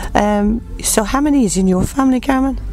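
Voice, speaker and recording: Fairly quick speech comes through over noticeable background noise. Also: woman. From Ireland, County Wexford. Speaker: radio host. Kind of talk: interview. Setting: at a country music festival.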